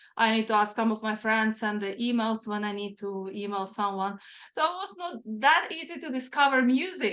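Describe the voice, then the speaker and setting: A woman with a non-native accent, fairly high pitch, bright, sharp tone and lively intonation, at a moderate pace against a quiet background. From Ukraine. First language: not English. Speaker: singer-songwriter, metal musician. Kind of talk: interview.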